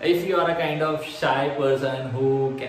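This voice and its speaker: There is audible room echo and light background noise as a man speaks at a medium pitch. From India. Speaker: vlogger. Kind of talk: vlog monologue. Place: home room. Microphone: phone near.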